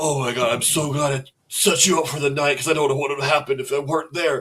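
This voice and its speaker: A man in a put-on character voice, fairly high in pitch, at a very fast pace. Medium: actual play.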